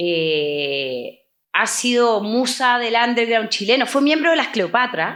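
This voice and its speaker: Fairly high-pitched, a woman speaks very slowly, her pitch swinging very widely while her loudness stays very even. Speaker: podcast co-host. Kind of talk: interview.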